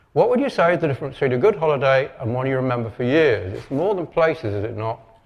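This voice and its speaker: In a Lancashire accent, a man with a fairly high pitch talks at a very fast pace with lively intonation. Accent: northern English (Lancashire). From northern England, Lancashire. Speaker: marketing expert and copywriter. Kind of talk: conference talk.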